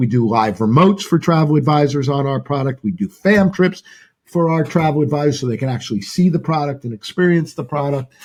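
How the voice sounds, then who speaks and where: A man talks fairly quickly in a fairly high, somewhat breathy voice, with ordinary pitch variation. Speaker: travel company executive. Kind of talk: interview. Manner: halting.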